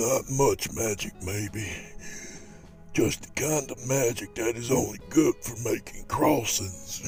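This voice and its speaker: Over clear background music, a man puts on a raspy character voice of medium pitch at a fairly slow pace. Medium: read story.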